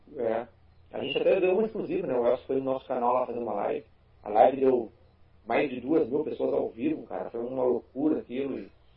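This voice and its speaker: Amid noticeable background noise, a man with a southern Brazilian accent talks fairly quickly with ordinary pitch variation. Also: medium pitch for a man. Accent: gaúcho Brazilian Portuguese. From Rio Grande do Sul, Brazil (Porto Alegre). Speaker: tokusatsu YouTuber. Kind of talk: casual chat.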